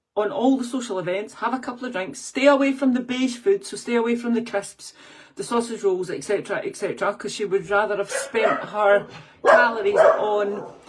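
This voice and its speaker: There is noticeable noise in the background. The woman's voice sits fairly high. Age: 50s. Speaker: fitness and weight-loss coach. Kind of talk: podcast monologue. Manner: animated; fast.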